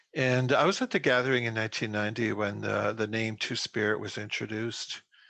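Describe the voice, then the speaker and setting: A man's medium-pitched voice, bright and sharp in tone, at a fairly quick pace with fairly even intonation. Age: 60s. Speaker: Two Spirit elder and artist. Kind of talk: panel discussion.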